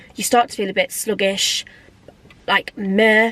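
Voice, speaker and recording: The sound is dry and close with no echo, though noticeable background noise comes through. A woman speaks at a moderate pace. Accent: English. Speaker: lifestyle vlogger. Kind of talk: casual vlog talk to camera.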